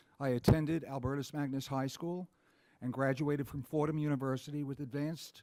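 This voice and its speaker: A man with an American accent talks at a very fast pace. His voice is fairly high, with fairly even intonation. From New York, Rockland County. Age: 70s. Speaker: political candidate. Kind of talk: debate opening statement. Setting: town hall with audience.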